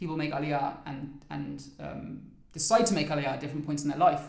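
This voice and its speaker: With a southern English accent, a man speaks at a moderate pace and fairly high pitch, his intonation fairly even amid audible room echo. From London, England. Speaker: trainee lawyer. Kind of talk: interview.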